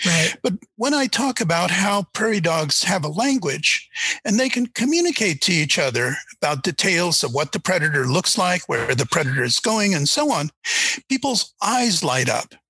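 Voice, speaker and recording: A man's raised, projected voice, high in pitch, with very wide pitch swings. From born in China, Russian-speaking, immigrated to US as child. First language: Russian. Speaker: animal language researcher and author. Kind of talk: interview conversation.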